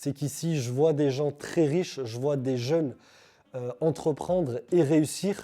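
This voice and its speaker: In a dark, mellow tone, a man speaks at a fairly high pitch. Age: 30s. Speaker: vlogger. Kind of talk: vlog monologue.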